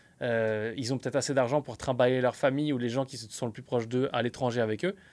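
A man's medium-pitched voice at a very fast pace, ordinary pitch variation, on a very clean recording with a silent background. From France. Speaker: entrepreneur, podcast co-host. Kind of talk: casual chat.

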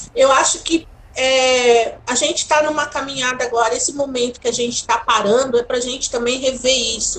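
Over noticeable background noise, a woman speaks at a fairly quick pace with a high pitch and fairly even intonation. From São Paulo, Brazil. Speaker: tourism entrepreneur. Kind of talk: interview.

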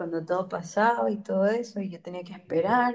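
A woman is the speaker. She talks at a fairly slow pace. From Ecuador. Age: 20s. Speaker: biology student. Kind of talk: casual interview chat.

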